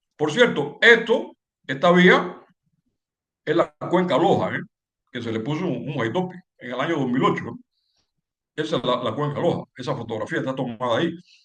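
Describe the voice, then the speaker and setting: Long, frequent pauses break up this man's speech, which moves at a moderate pace with a fairly high pitch and lively intonation. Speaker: civil engineering lecturer. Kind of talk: lecture. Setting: webinar. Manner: halting with repetitions.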